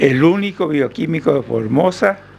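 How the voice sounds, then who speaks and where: Noticeable background noise is present throughout. The talking proceeds at a fairly slow pace. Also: man. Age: 80s+. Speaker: doctor. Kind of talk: radio interview answer.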